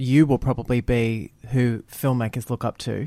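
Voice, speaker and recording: He speaks with an Australian accent. The man's pitch is medium. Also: very clean recording, silent background. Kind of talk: radio interview.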